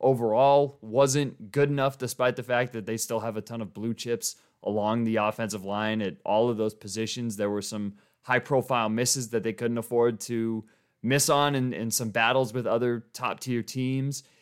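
A man with a normal speaking voice talks with an American accent at medium pitch and a moderate pace. His intonation is fairly even, and the recording is very clean with a silent background. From Colorado (Boulder area). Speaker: sports podcast host. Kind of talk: casual solo sports commentary. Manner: casual, conversational with fillers.

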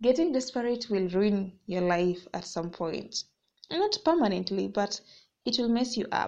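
Using a normal speaking voice, a woman talks at a fairly slow pace and medium pitch with lively intonation. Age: 20s. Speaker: personal vlogger. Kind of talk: motivational monologue. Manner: casual, laughing often.

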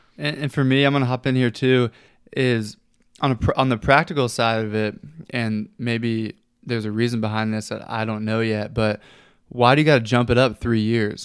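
An unremarkable speaking voice from a man with an American accent, medium pitch, fairly even intonation and moderate pace, on a very clean recording with a silent background. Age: 20s. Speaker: sports podcast host. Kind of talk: casual chat.

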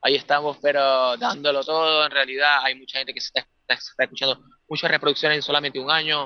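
A man's fairly high voice, very fast in pace, with fairly even intonation. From Venezuela. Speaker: rock band singer and guitarist. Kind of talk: interview. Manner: halting, many repetitions.

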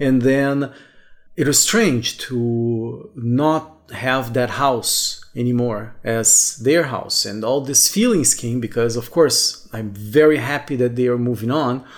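Against noticeable background noise, a man with a Portuguese accent speaks very slowly with ordinary pitch variation. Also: medium pitch for a man. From southern Brazil. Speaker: podcaster. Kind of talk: solo reflective monologue.

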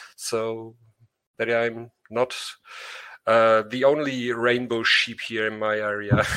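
This man has a German accent and a medium pitch, with a bright, sharp tone, monotone, flat intonation, a very slow pace and long, frequent pauses. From Germany. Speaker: audience member. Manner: shy, halting.

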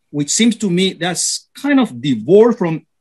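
A man with a high voice and a Spanish accent talks at a fairly slow pace, the sound dry and close with no echo. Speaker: radio panelist, philosopher. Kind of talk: radio panel discussion.

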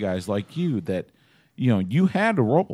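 A man with a Texan accent, medium pitch and fairly slow pace, on a very clean recording with a silent background. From East Texas. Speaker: sports podcast host. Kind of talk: casual chat.

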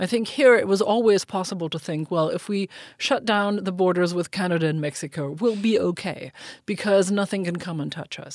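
At a fairly quick pace, a woman with a German accent speaks at a medium pitch with ordinary pitch variation in a quiet background. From Germany. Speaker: foreign and security policy expert. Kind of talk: policy discussion.

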